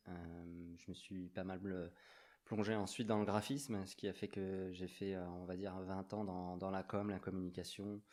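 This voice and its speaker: A man speaks at a fairly slow pace in a very deep, low voice with monotone, flat intonation and big swings in loudness, on a very clean recording with a silent background. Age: 40s. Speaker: graffiti artist. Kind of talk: casual chat. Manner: hesitant.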